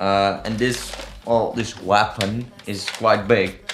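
A man speaks with fairly even intonation while clear music plays in the background. Audible room echo surrounds his voice. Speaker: maker vlogger. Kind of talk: casual vlog chat. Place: home room.

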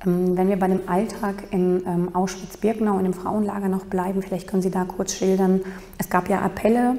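The woman's medium-pitched voice stays monotone and flat in intonation, with very even loudness, at a moderate pace. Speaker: interviewer. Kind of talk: interview questions. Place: hall. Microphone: podium.

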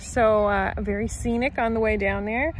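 A woman speaks at a very slow pace. The sound is dry with no echo, with light background noise. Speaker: vlogger. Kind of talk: casual vlog chat. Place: open country. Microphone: phone near.

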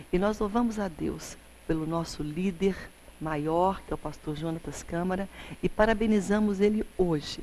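A woman's dark, mellow tone with ordinary pitch variation over light background noise. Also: moderate pace. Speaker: TV presenter. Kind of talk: devotional address to camera. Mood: warm, celebratory. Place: studio. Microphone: lapel.

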